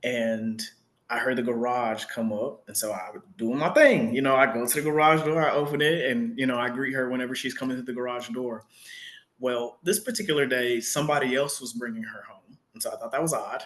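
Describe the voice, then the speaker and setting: With an American accent, a man talks in an unremarkable speaking voice at medium pitch and a fairly quick pace, his loudness swinging widely and his pitch varying in an ordinary way. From Texas, Dallas. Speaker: academic researcher in English. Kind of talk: casual interview chat.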